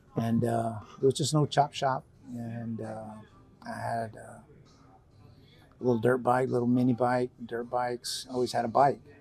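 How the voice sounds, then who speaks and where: With an American accent, a man speaks at a moderate pace and medium pitch, monotone and flat, with long, frequent pauses. His loudness swings widely, and music plays in the background. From Texas (Pasadena, near Houston). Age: 60s. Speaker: biker, military veteran. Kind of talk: interview. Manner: halting, many fillers.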